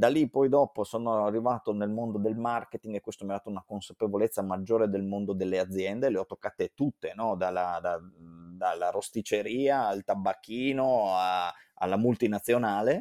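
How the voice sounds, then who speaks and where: In a very clean, dry and close recording with a silent background and no echo, a man speaks in a fairly low, dark and mellow voice with ordinary pitch variation. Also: moderate pace. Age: 30s. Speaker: event organizer and marketer. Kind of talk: interview. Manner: halting.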